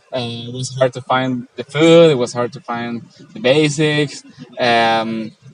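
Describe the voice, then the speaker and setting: Medium-pitched male speech with a Spanish accent, fairly slow and fairly even in intonation, broken by long, frequent pauses. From Venezuela. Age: 20s. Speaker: traveller. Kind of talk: casual interview. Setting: outdoors in a park. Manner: halting, many fillers.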